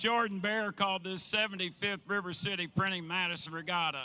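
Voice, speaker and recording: A raised, projected, high-pitched man's voice at a moderate pace, over noticeable background noise. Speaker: race announcer. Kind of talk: ceremony announcing.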